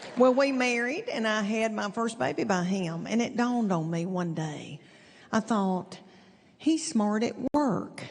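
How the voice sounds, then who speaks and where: A woman speaks with a Southern US accent at a fairly high pitch, somewhat breathy. Her intonation is lively and her pace fairly slow. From East Tennessee. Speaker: stand-up comedian. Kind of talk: stand-up comedy routine.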